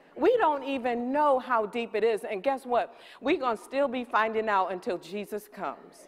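Animated and fairly high-pitched, a woman speaks at a moderate pace with ordinary pitch variation and hardly any pauses. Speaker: preacher. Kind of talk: sermon. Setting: church with congregation. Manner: animated, rhythmic call-and-response preaching; emphatic, repeating key lines for effect. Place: stage. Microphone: headset.

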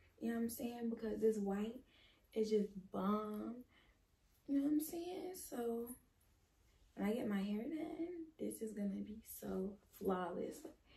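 A woman's fairly high, somewhat breathy voice with a dark, mellow tone, lively intonation, a fairly slow pace and long, frequent pauses. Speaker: fashion vlogger. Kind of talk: casual vlog try-on. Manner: animated.

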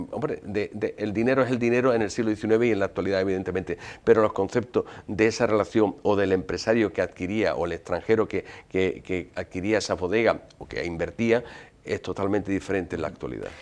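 Fairly low in pitch, a man speaks at a fairly quick pace. His intonation stays fairly even. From Andalusia, Jerez de la Frontera; Andalusia. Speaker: sherry historian and researcher; interview guest. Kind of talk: interview. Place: studio. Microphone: lapel.

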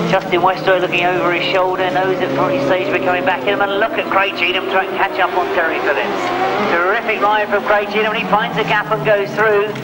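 A man at a very fast pace against loud background noise. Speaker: race commentator. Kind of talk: sports commentary.

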